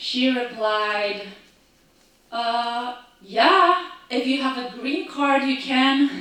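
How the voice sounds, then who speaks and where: A woman with a slight non-native accent speaks very slowly in a high, raised, projected voice with ordinary pitch variation. Audible room echo and noticeable background noise fill the recording. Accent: foreign accent, slight. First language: not English. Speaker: actor and storyteller. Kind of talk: storytelling performance. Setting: stage with audience.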